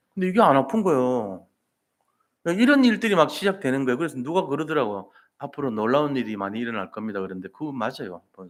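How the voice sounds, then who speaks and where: In a very clean recording with a silent background, a man talks at a very fast pace and medium pitch with very wide pitch swings. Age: 60s. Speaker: pastor. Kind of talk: sermon. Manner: animated.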